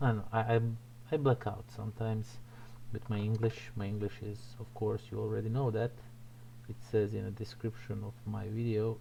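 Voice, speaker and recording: A man with a non-native accent speaks at a moderate pace, leaving long, frequent pauses. His medium-pitched voice has a dark, mellow tone, somewhat breathy, with monotone, flat intonation. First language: not English. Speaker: miniature painting streamer. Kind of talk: live painting tutorial stream. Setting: home livestream. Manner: halting, searching for words.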